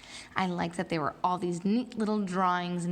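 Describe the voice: Plain reading aloud, its intonation fairly even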